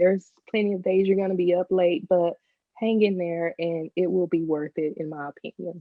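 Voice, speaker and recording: Speaking at a moderate pace, a woman with a strong Southern US accent has a fairly low pitch and fairly even intonation. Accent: deep Southern. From Texas. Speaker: business owner. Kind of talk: interview podcast.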